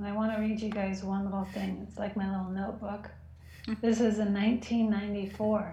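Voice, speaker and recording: A woman's medium-pitched voice at a moderate pace, flat and monotone, over noticeable background noise. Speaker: prayer group participant. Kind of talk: testimony. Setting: video call.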